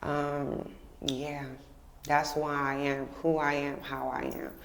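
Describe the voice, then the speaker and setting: A woman with an American accent and a very deep, low pitch, with audible room echo. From Texas, Houston area. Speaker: poet, faith testimony guest. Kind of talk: testimony.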